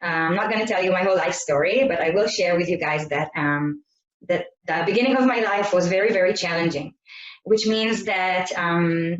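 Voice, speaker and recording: Speaking at a moderate pace, a woman with an Israeli accent has a medium pitch and ordinary pitch variation. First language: Hebrew. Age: 30s. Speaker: network marketing presenter. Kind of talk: sales presentation. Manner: halting.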